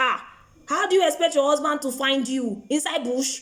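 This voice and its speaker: Noticeable background noise accompanies a woman speaking with lively intonation. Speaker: broadcaster and motivational vlogger. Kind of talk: motivational talk. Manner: animated.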